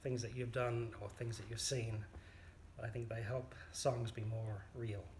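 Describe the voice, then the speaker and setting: A man's medium-pitched, flat, monotone delivery at a fairly slow pace, with audible room echo. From New Zealand. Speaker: amateur folk songwriter. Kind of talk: interview. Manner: hesitant, with fillers.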